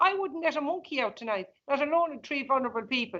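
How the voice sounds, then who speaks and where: A woman speaks at a high pitch in a rural Irish accent. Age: 60s. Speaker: evicted farm owner, campaigner. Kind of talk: emotional appeal in interview. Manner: impassioned, pleading.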